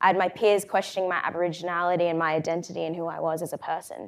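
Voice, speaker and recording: Speaking at a very fast pace, a woman with an Australian accent keeps a monotone, flat intonation. Her pitch is fairly low, in a very clean recording with a silent background. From Australia, Brisbane. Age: 20s. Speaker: co-CEO of a mentoring organisation, speaker. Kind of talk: conference talk.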